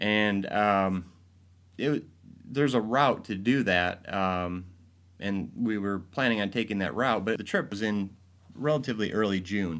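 On a very clean recording with a silent background, a man with an ordinary speaking voice and an American accent speaks at a fairly slow pace and fairly low pitch, with ordinary pitch variation. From Michigan, Grand Rapids. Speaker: advertising agency president. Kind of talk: interview.

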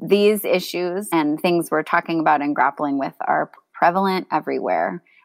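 A woman with an American accent uses a normal speaking voice, fairly low in pitch, with ordinary pitch variation at a moderate pace, the sound dry and close with no echo on a very clean recording with a silent background. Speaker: parent and school integration advocate. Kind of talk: casual chat.

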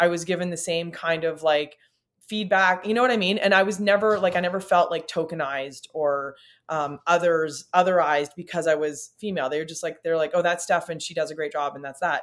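At a fairly quick pace, a woman with a Canadian accent speaks in a normal speaking voice, fairly low in pitch, with fairly even intonation. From Northern Ontario, Canada. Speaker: music booking agent. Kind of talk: casual interview chat.

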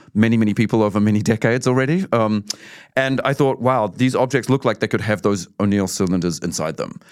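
Very fast male speech in a New Zealand accent, medium pitch with ordinary pitch variation. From New Zealand, Auckland. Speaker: artist. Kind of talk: casual interview chat. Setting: studio.

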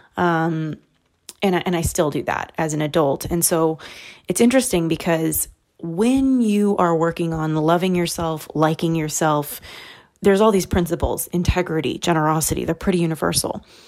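Soft-spoken delivery at a moderate pace with ordinary pitch variation. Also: woman, fairly low pitch for a woman. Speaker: podcast host and author. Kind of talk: solo monologue. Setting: home recording.

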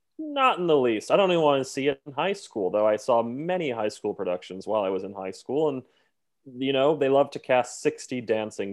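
At a fairly quick pace, a man with medium pitch and an unremarkable speaking voice talks with lively intonation. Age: 30s. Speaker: Broadway performer. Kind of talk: casual chat.

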